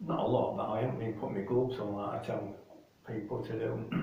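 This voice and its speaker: A man speaks with a Yorkshire accent at medium pitch and a moderate pace. Noticeable background noise runs behind him. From Yorkshire, England. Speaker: model railway hobbyist. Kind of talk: casual talk to camera. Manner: mumbling.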